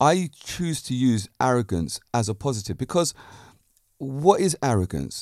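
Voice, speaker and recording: A man with a British accent sounds animated, his pitch swinging very widely, on a very clean, dry and close recording with a silent background and no echo. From Britain. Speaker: podcast host and fitness and martial arts instructor. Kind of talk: casual monologue. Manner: assured, confident.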